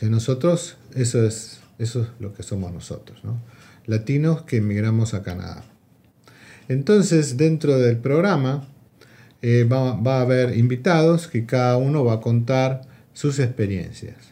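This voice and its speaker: A man talks at a fairly slow pace, somewhat breathy, at a medium pitch. His tone is dark and mellow, and his pitch varies in an ordinary way. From Argentina. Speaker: podcast host. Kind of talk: casual chat.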